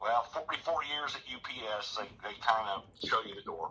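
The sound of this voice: At a fairly quick pace, a man with a medium pitch and a bright, sharp tone speaks with lively intonation.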